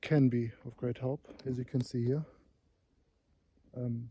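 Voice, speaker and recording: A man whispers in a somewhat breathy way. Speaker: wildlife photographer. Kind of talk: vlog narration outdoors. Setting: outdoors in snowy forest. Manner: whispering; hesitant, many fillers.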